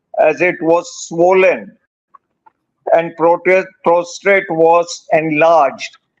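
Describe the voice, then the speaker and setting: A man talks with a high pitch at a very slow pace. His intonation is fairly even. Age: 70s. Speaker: cancer patient. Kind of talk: testimony.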